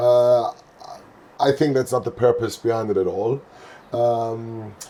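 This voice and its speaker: With a non-native accent, the speaker talks at a fairly slow pace with fairly even intonation. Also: man, medium pitch for a man. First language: not English. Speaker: youth football coach. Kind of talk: podcast interview. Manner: halting.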